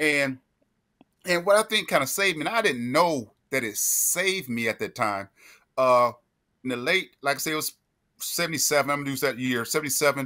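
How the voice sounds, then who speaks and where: With a North Carolina accent, this bright, sharp voice moves at a fairly quick pace with lively intonation and long, frequent pauses in a very clean recording with a silent background. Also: man, fairly high pitch for a man. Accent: Southern US (North Carolina). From US South, Greensboro, North Carolina. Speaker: podcast co-host, military veteran. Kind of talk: casual storytelling.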